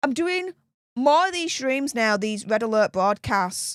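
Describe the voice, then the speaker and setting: Loud and animated, a woman with a Yorkshire accent speaks at a moderate pace with very wide pitch swings, in a dry, close sound with no echo on a very clean recording with a silent background. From Yorkshire, northern England. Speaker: political commentary YouTuber. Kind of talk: live stream chat.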